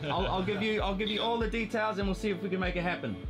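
Fast-paced speech over clear background music. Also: man, high pitch for a man, ordinary pitch variation.

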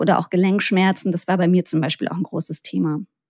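A woman speaks in a plain, everyday voice at medium pitch with fairly even intonation. The sound is dry and close with no echo, in a very clean recording with a silent background. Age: 30s. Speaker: health expert sharing own patient story. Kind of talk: interview.

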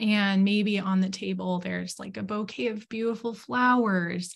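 Over a quiet background, a woman talks in a calm, soothing, somewhat breathy tone with fairly even intonation. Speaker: student speaker and yoga guide; speaker, yoga guide. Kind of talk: guided meditation. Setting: video call. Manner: slow, calm, soothing; gentle, instructive. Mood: calm, soothing guided imagery. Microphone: video call.

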